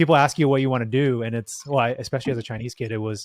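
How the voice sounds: A man at medium pitch and a very fast pace, with fairly even intonation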